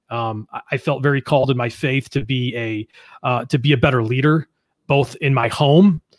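In an American accent, a man speaks at medium pitch with fairly even intonation, in a very clean recording with a silent background and a dry, close sound with no echo. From Western New York (Buffalo area). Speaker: entrepreneur and business mentor. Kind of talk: interview.

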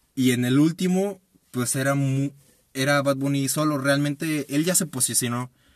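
A man talks in an ordinary speaking voice, fairly high in pitch, with fairly even intonation at a moderate pace. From Mexico, Guanajuato. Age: 20s. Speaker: podcast co-host. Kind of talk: casual chat.

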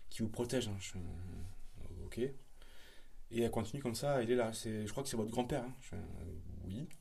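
A man with a dark, mellow, somewhat breathy tone speaks at medium pitch and a moderate pace, with ordinary pitch variation and hardly any pauses. Audible room echo surrounds the voice. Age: 20s. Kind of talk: casual chat.

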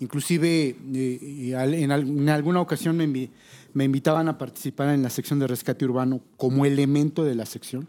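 Hardly pausing, a man speaks at a fairly slow pace with fairly even intonation. His voice is fairly high in pitch, with a dark, mellow tone. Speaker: mountain rescuer. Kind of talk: casual chat.

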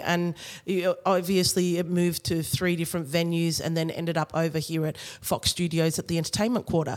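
Speaking at a fairly quick pace with hardly any pauses, a woman with an Australian accent uses a fairly low pitch. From Australia (Sydney). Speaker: dancer, director and choreographer. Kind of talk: interview.

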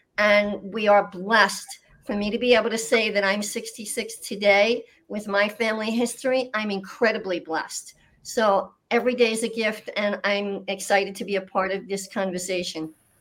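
With fairly even intonation and a medium pitch, a woman talks in an ordinary speaking voice. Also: moderate pace. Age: 60s. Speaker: healthcare business development panelist. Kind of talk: panel discussion. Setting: video call.

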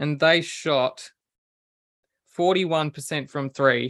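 With an Australian accent, a man of fairly high pitch and a bright, sharp tone speaks at a very slow pace with fairly even intonation. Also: dry, close sound with no echo. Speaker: basketball podcast co-host. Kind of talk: casual chat.

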